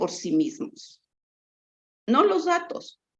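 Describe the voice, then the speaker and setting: Very slowly, a woman speaks. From Mexico, Chihuahua. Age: 60s. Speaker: researcher. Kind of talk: lecture.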